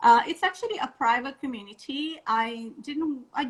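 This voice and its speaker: With a non-native accent, a woman speaks in a bright, sharp tone with lively intonation. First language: not English. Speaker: vegan wedding blogger. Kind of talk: interview on a live stream. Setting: Instagram live video call.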